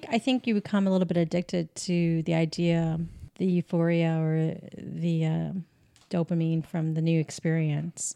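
At a moderate pace, a woman uses a plain, everyday voice with a fairly low pitch, very even loudness and fairly even intonation. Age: 40s. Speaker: podcast co-host. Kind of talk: casual chat. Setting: kitchen table.

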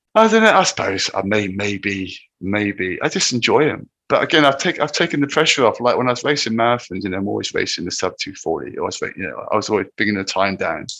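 A man speaks with an English accent. He talks very fast, with hardly any pauses. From England, Cornwall. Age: 50s. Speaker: ultrarunner. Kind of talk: casual chat.

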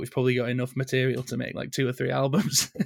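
This man has a Yorkshire accent. His pitch sits at a medium level. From northern England. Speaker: rock band singer and music teacher. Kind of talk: casual interview. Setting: remote call.

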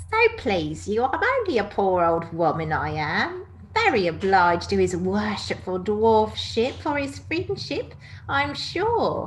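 A female-sounding, whiny put-on character voice speaks at a fairly slow pace. Clear background noise runs underneath. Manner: whining, servile.

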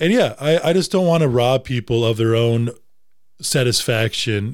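A man with an American accent talks at a moderate pace and medium pitch in an unremarkable speaking voice, with ordinary pitch variation, on a very clean recording with a silent background. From Wisconsin. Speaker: upland bird hunter. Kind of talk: casual chat.

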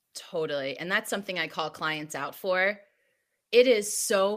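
A woman has an ordinary speaking voice, fairly low in pitch with ordinary pitch variation and an American accent. The recording is very clean, with a silent background. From New Jersey. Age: 30s. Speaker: wellness coach. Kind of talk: interview.

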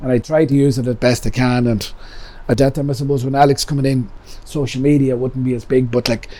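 Speaking with an Irish accent, a man has a dark, mellow tone, a medium pitch, and fairly even intonation. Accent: Cavan Irish. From Ireland, County Cavan. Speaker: pub owner. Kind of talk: casual storytelling interview.

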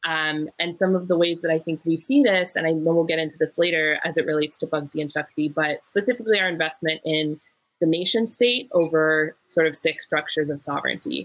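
Speaking at a fairly quick pace with hardly any pauses, a woman with an American accent has an unremarkable speaking voice, a fairly low pitch and ordinary pitch variation. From US Midwest, Wisconsin. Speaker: sociologist and community organizer. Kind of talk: panel discussion.

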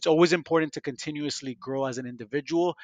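A man with an American accent and a plain, everyday voice, fairly high in pitch, at a fairly quick pace with fairly even intonation, on a dry, close sound with no echo and a quiet background. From Miami, Florida. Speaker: podcast host, pharmaceutical industry fellow. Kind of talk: casual interview.

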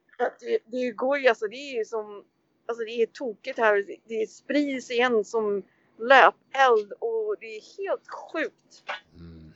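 Speaking at a very slow pace, a woman with a high pitch shows ordinary pitch variation and big swings in loudness. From Sweden, Tyresö near Stockholm. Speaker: graffiti artist. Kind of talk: casual interview. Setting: remote call over hotspot. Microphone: poor sound.

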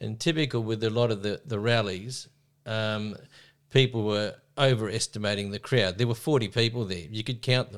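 With an Australian accent, a man speaks at a moderate pace and medium pitch, with ordinary pitch variation. The recording is very clean, with a silent background. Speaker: teacher and minor party president. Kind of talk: casual chat. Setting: home. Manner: halting.

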